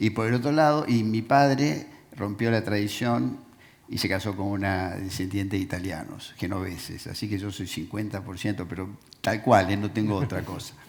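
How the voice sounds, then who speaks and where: In a Rioplatense accent, a man speaks at a fairly low pitch. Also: ordinary pitch variation, moderate pace. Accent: Argentine Rioplatense Spanish. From Argentina (Rosario area). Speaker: businessman, panelist. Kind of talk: panel interview.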